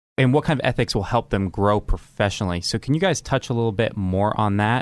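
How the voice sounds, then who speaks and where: An ordinary speaking voice from a man, fairly low in pitch, with ordinary pitch variation, a moderate pace and a very clean recording against a silent background. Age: 20s. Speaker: young professional. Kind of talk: interview questions. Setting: studio.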